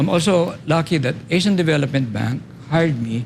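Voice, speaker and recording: Noticeable background noise behind a man's fairly quick pace. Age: 70s. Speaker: architect and urban planner. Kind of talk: interview.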